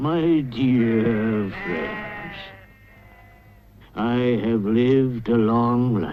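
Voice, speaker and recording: A man's cartoonish character voice at medium pitch, very slow, with long, frequent pauses. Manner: solemn, oratorical.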